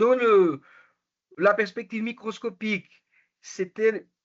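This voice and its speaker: The pace is very slow. The speaker has a Portuguese accent. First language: Portuguese (speaking French). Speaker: education researcher. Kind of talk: academic presentation. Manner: halting, many hesitations and self-corrections.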